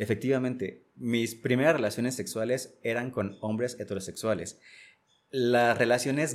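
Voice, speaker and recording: At a fairly slow pace, a man talks with medium pitch. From Jalisco, Mexico (Casimiro Castillo, south coast). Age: 30s. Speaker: graphic designer. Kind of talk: life-story interview.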